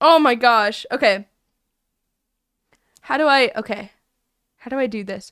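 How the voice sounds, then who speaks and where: A woman talks at a fairly slow pace in a high pitch, her tone animated. Her pitch varies in an ordinary way, and she leaves long, frequent pauses. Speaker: streamer. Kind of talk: casual chat.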